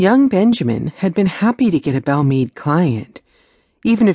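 Against a quiet background, the plain reading aloud carries lively intonation.

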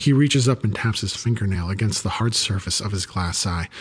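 With lively intonation and a somewhat breathy sound, a man speaks fairly quickly in a fairly low pitch. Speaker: audiobook narrator. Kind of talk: dramatic audiobook narration, first-person story with character voices.

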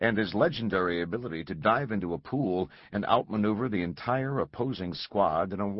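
Reading in an unforced voice

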